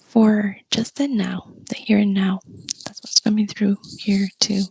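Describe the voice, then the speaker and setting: In a dry, close recording with no echo, a soft-spoken woman at medium pitch talks at a fairly slow pace with monotone, flat intonation. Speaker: tarot reader. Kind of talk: soft-spoken ASMR tarot reading.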